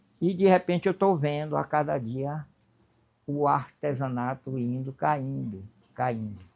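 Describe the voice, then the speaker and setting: A man with a fairly high pitch speaks at a very slow pace. The background is quiet. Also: ordinary pitch variation. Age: 70s. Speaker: potter and craftsman. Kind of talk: interview testimony. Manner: halting, repetitive.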